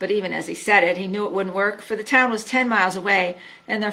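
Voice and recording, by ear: The voice reads aloud naturally. Its pitch moves in an ordinary way.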